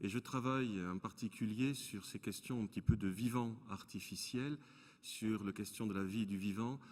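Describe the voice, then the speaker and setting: A man's fairly low voice in a southern French accent, fairly slow, with ordinary pitch variation, on a very clean recording with a silent background. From southern France, Toulouse. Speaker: philosopher and lecturer. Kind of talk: panel introduction.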